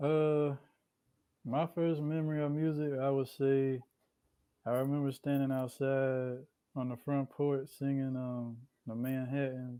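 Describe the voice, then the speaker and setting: Soft-spoken and with a Southern US accent, a man talks at a fairly slow pace with long, frequent pauses, a fairly high pitch, monotone, flat intonation and a dark, mellow tone. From Columbia, South Carolina. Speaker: rapper. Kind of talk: interview.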